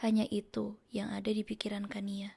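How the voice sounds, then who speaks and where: The voice is soft-spoken and somewhat breathy, with a dark, mellow tone. The recording is very clean with a silent background. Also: woman. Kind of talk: audiobook narration.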